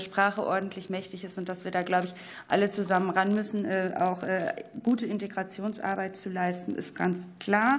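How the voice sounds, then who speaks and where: A woman's medium-pitched voice at a fairly quick pace, flat and monotone in intonation. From North Rhine-Westphalia. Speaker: member of parliament. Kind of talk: questions at a parliamentary hearing. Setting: parliamentary committee hearing room.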